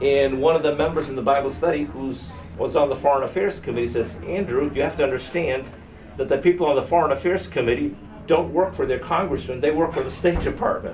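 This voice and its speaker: A man talking fairly quickly in an American accent is heard with audible echo from the room and noticeable noise behind him. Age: 60s. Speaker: activist and former soldier. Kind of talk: talk to audience. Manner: halting with fillers.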